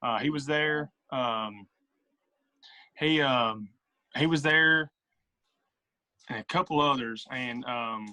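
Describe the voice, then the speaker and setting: Speaking at a very slow pace, a man with an American accent leaves long, frequent pauses. His pitch sits in the medium range and varies in an ordinary way. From south central Tennessee, US South. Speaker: podcast guest, social media creator. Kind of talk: casual chat.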